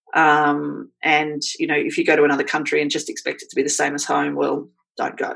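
With an Australian accent, a woman speaks at a fairly quick pace. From Australia, Queensland. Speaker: blogger and writer. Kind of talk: casual chat.

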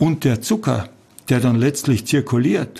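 At a moderate pace, a man speaks in a Carinthian accent with a medium pitch, vocal fry and a dark, mellow tone. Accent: Carinthian Austrian German. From Austria, Carinthia. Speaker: physician. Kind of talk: interview.

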